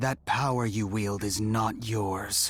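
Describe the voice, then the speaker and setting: In a put-on character voice, a man of medium pitch speaks at a fairly slow pace with monotone, flat intonation. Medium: video game. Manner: calm, firm.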